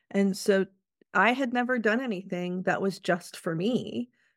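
A woman with a normal speaking voice talks at a medium pitch with ordinary pitch variation on a very clean recording with a silent background. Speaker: workplace wellness consultant and author. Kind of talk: casual interview chat.

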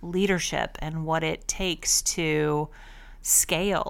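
This woman has an ordinary speaking voice pitched fairly low. Her intonation stays fairly even. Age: 40s. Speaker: pet business coach and podcast host. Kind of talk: solo podcast monologue. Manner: casual, conversational.

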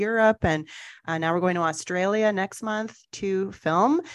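A woman's medium-pitched voice at a fairly slow pace, with ordinary pitch variation over a quiet background. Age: 40s. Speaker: entrepreneur and media producer. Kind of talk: casual chat. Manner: hesitant, many fillers.

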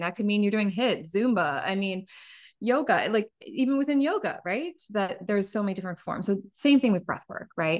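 A woman in an ordinary speaking voice talks at a fairly quick pace, her fairly high pitch carrying lively intonation. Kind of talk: casual interview chat.

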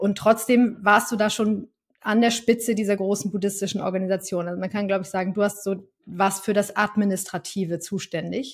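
Somewhat breathy, a woman speaks at a fairly quick pace in a medium pitch. Her intonation is monotone and flat. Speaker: podcast host. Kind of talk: interview conversation. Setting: studio.

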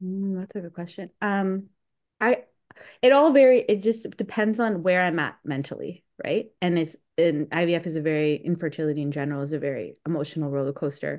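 The speaker talks with a Canadian accent at a fairly quick pace, with lively intonation and a quiet background. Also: woman, fairly low pitch for a woman. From Southern Ontario, Canada. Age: 30s. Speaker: pediatrician. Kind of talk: interview.

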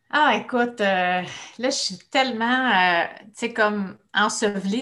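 Ordinary pitch variation marks this woman's fairly high-pitched voice. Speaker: speech-language pathologist. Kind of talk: casual interview.

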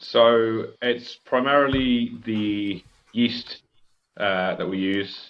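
The speech moves at a very slow pace with fairly even intonation. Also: man, medium pitch for a man. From southern England. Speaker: brewer. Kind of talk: casual chat.

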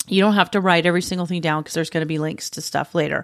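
Heard on a very clean recording with a silent background, a woman with a fairly low pitch speaks in an animated tone. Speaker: podcast host and cabinet maker. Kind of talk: casual solo tutorial.

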